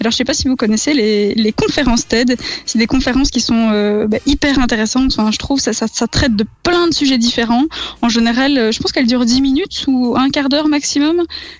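Over noticeable background noise, a woman speaks fairly quickly in a high pitch with ordinary pitch variation and very even loudness. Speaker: radio co-host. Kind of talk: casual radio show.

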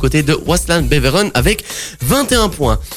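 Music plays in the background as a man speaks. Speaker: community radio sports show host. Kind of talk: casual radio sports chat. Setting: radio studio.

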